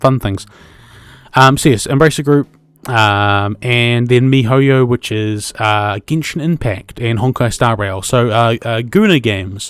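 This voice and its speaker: Over music in the background, a man with a New Zealand accent talks at a fairly slow pace, at a medium pitch with ordinary pitch variation. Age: 20s. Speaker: podcast host. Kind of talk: casual solo podcast monologue. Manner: hesitant, many fillers.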